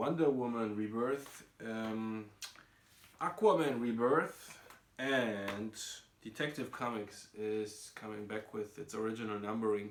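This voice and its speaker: A man with a non-native accent at a very slow pace and medium pitch, his loudness swinging widely over noticeable background noise. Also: ordinary pitch variation. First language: not English. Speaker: comic book reviewer. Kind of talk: casual talk to camera.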